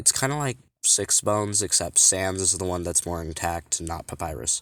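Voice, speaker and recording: In a very clean recording with a silent background, a man speaks with a very deep, low pitch and lively intonation. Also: moderate pace. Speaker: fan-fiction creator explaining own characters. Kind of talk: casual unscripted explanation. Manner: halting, stuttering with many fillers.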